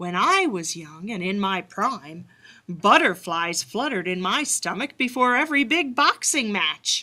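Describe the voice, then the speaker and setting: A put-on character voice at a moderate pace, full of very wide pitch swings. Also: woman, medium pitch for a woman. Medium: read story.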